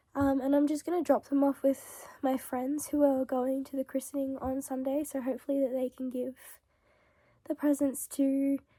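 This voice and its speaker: A woman's high yet dark, mellow voice in a monotone, flat delivery at a moderate pace, dry and close with no echo. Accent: Australian. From Melbourne, Australia. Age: 20s. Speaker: vlogger. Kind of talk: casual vlog talk to camera. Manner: frequent throat clearing.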